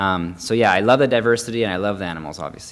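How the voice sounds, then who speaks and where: A man talking at a very fast pace, his intonation fairly even. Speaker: veterinarian. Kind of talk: career panel talk. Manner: halting, many pauses and repeated words.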